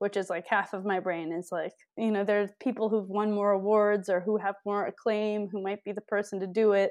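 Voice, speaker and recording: Speaking at a fairly quick pace, a woman with an American accent holds a medium pitch in a monotone, flat delivery. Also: hardly any pauses. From Wisconsin, US Midwest (Milwaukee). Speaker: documentary filmmaker. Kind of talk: casual interview. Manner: laughs often.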